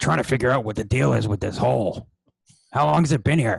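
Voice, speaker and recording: Putting on a booming, raspy character voice at a medium pitch, a man rattles along at a very fast pace with very wide pitch swings. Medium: actual play. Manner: gruff, bossy.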